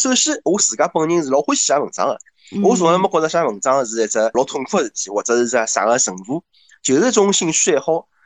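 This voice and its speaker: Racing along at a very fast pace, a man speaks in a fairly high voice with very wide pitch swings. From Shanghai. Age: 30s. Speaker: bank employee and blogger. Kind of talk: casual chat.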